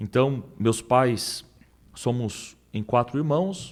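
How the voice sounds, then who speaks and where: This voice is male. Its rise and fall in pitch is ordinary. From Brazil. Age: 40s. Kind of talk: interview.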